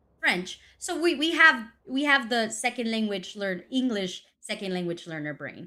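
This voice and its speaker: Over a very clean recording with a silent background, a woman with a fairly high pitch and a bright, sharp tone speaks with very wide pitch swings, big swings in loudness and hardly any pauses. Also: moderate pace. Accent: Spanish. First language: Spanish. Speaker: esports caster. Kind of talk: live commentary.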